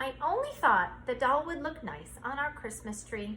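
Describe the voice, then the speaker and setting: Projecting loudly in a put-on character voice, a female-sounding speaker uses a high pitch at a moderate pace over clear background noise. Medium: read story.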